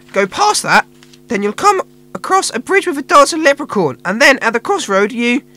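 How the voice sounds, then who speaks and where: High and put-on, this character voice swings very widely in pitch. It keeps a moderate pace. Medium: audio drama. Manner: laid-back, slangy.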